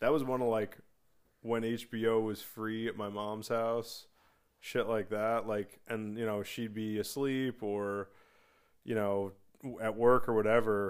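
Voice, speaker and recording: On a very clean recording with a silent background, a man speaks fairly slowly at medium pitch in a monotone, flat intonation. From US Northeast, New Jersey. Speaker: movie podcast co-host. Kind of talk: casual chat.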